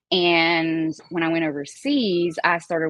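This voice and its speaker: A woman speaks with a Southern accent. Her pitch is very deep and low. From US South, Appalachia (Galax, Virginia). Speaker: baker and singer. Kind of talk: casual chat.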